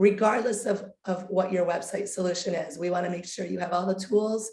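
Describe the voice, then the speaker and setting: A woman speaks in a somewhat breathy voice at medium pitch, her intonation monotone and flat. Audible room echo surrounds her. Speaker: webinar host. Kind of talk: webinar presentation.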